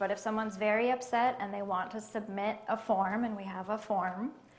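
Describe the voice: Amid audible room echo, a woman speaks at a moderate pace and medium pitch with fairly even intonation.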